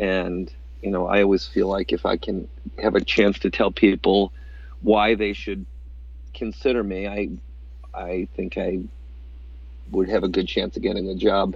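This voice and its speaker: A man with a very deep, low pitch talks with vocal fry and very wide pitch swings. His moderate pace is broken by long, frequent pauses. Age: 50s. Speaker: entrepreneur, restaurant co-founder. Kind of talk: interview.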